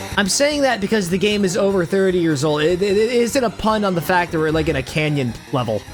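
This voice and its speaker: An animated tone at a very fast pace, with music in the background. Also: hardly any pauses. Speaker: gaming streamer. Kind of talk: live gameplay commentary. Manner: animated, halting with repetitions.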